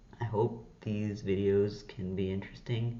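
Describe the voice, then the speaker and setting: A man talks at a very deep, low pitch and a fairly slow pace. Room echo is audible. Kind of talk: casual unscripted vlog. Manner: halting, with false starts; shaky voice.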